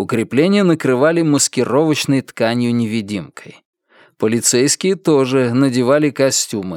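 An unforced reading voice, with ordinary pitch variation, sounds out against a quiet background.

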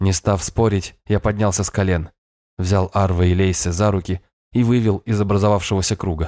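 With fairly even intonation, a natural reading voice sounds out over a quiet background.

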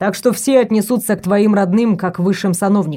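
Someone is reading aloud in a natural voice. The text is read steadily through.

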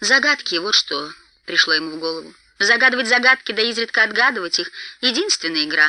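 Reading aloud in a natural voice, the speaker lets the intonation move in a lively way.

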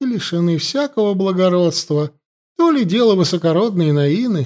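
Lively intonation in an unforced reading voice, set against a quiet background

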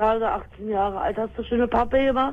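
This woman's voice sits at a fairly high pitch. Her pitch variation is ordinary. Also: moderate pace.

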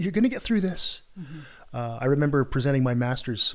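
A man speaks in an animated tone with lively intonation and a somewhat breathy voice. The recording is very clean with a silent background. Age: 50s. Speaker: podcast host, psychology academic. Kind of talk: casual interview. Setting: home studio, face to face.

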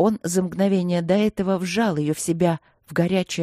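Someone reads a text out plainly, the intonation staying fairly even.

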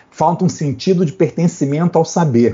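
A man speaks with a somewhat breathy voice. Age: 60s. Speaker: physician and public health researcher. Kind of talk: panel discussion. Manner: halting.

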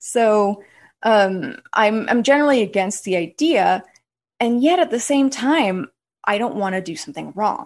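Against a quiet background, a woman with a normal speaking voice talks at a fairly slow pace. Her pitch sits fairly high. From US West. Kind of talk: casual interview chat.

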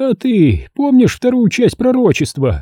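Putting on a croaky character voice at an extremely high pitch for a man, a man speaks at a moderate pace in a dry, close sound with no echo. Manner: speaking sharply.

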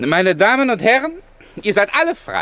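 A man puts on a character voice, pitched high with very wide pitch swings. His tone is bright and sharp, and his pace is moderate.

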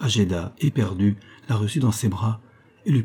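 Pitch rises and falls by an ordinary amount in an unforced reading voice.

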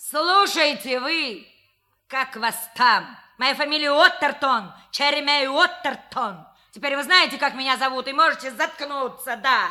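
Putting on a character voice, a woman speaks at a fairly slow pace, high in pitch, with a bright, sharp tone and lively intonation.

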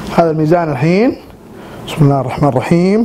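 The speaker goes at a moderate pace with ordinary pitch variation, and noticeable background noise is present. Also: man. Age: 20s. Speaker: weight-loss vlogger. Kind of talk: casual vlog monologue. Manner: animated. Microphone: cheap camera and mic.

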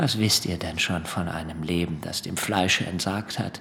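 Doing a put-on character voice, a man with a low pitch, vocal fry and a bright, sharp tone speaks at a moderate pace with fairly even intonation.

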